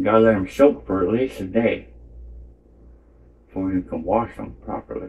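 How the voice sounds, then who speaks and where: With a somewhat breathy voice and very wide swings in pitch, this man talks at a moderate speed. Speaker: painting channel host. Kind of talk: casual painting tutorial. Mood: joking, playful. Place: home room.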